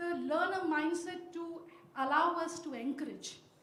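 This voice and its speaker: A woman at a moderate pace, with audible room echo. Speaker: professor, audience questioner. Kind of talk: audience question at panel.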